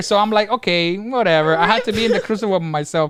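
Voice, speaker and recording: Pitched high, a man talks at a very fast pace. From Cuba. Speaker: podcast co-host, gaming parent. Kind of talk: casual chat. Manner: loud; animated, repeats words when excited.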